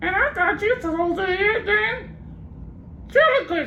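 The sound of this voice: Moderate-paced speech in a put-on character voice, over clear background noise. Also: man, extremely high pitch for a man.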